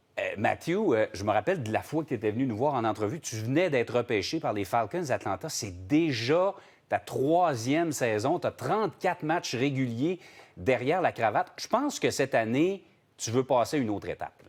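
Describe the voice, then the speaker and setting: This man speaks in a medium register, his intonation lively. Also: moderate pace. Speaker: TV morning show host. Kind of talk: interview. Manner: animated.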